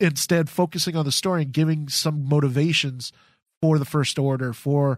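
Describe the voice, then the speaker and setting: At a moderate pace, a man with an unremarkable speaking voice and a fairly high pitch comes through in a very clean recording with a silent background, the sound dry and close with no echo. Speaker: podcast co-host. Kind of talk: casual chat. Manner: laughs often.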